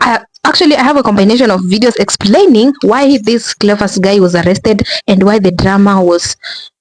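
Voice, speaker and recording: Speaking with a Kenyan accent at a moderate pace, a woman shows ordinary pitch variation. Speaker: commentary vlogger. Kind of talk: casual vlog commentary. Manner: halting, many restarts.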